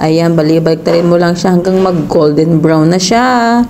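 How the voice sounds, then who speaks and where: With audible room echo and noticeable background noise, a woman speaks with lively intonation. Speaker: cooking vlogger. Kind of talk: cooking tutorial.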